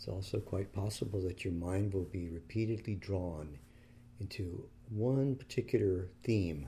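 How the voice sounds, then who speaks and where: Somewhat breathy and gentle, calm in tone, a man speaks at a fairly slow pace in a very deep, low pitch with ordinary pitch variation. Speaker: meditation teacher. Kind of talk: guided meditation. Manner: slow, calm, soothing; gentle, unhurried, with long pauses.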